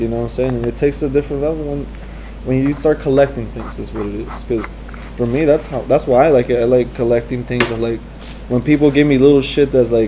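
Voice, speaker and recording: Over noticeable background noise, a soft-spoken man talks at a very fast pace. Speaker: graffiti and fine artist. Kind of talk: interview answer.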